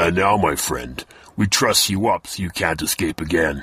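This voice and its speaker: In a put-on character voice, a man sounds gruff and growling, his pitch very deep and low. He keeps a moderate pace. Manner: gloating, triumphant.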